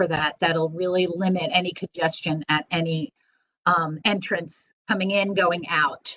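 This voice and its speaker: Her bright, sharp voice, a woman's, sits at a medium pitch with fairly even intonation. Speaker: school administrator. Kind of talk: staff meeting presentation.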